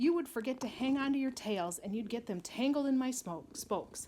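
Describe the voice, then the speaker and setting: Putting on a squeaky character voice, a woman talks at a high pitch and a fairly quick pace. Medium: read story.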